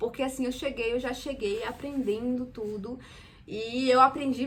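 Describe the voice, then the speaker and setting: A woman with a Brazilian accent speaks in a high voice with fairly even intonation. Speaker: immigrant vlogger, former waitress. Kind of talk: casual personal vlog.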